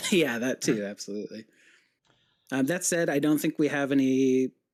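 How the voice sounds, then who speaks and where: A quiet man at a moderate pace, the sound dry and close with no echo. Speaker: game developer. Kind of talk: casual interview. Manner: quiet talker.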